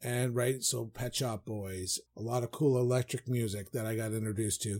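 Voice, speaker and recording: With a dark, mellow tone and a somewhat breathy quality, a man talks at a moderate pace with fairly even intonation. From Newfoundland, Canada. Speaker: podcast co-host. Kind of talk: casual chat.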